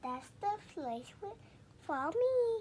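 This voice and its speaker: A woman puts on a squeaky character voice at an extremely high pitch, swinging very widely in pitch over clear background noise. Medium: read story.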